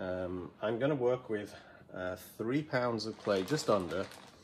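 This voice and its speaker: A man's pitch varies in an ordinary way, with light noise in the background. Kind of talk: tutorial. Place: workshop. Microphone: phone near.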